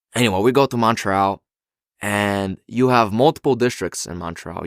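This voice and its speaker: In a very clean recording with a silent background and a dry, close sound with no echo, a man speaks at a fairly low pitch and fairly slow pace with ordinary pitch variation. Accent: Bulgarian. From Bulgaria. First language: Bulgarian. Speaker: university student. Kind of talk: podcast interview answer.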